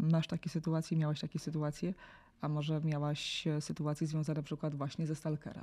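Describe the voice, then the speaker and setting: At a fairly quick pace, a woman with a very deep, low, dark and mellow voice speaks in a monotone, flat delivery on a very clean recording with a silent background. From Poland, small town. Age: 40s. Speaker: journalist and podcast host. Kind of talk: interview.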